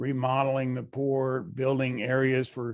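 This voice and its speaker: A man with an American accent and an unremarkable speaking voice talks at a fairly slow pace and medium pitch. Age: 60s. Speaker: pipe welder, audience member. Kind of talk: Q&A at virtual conference.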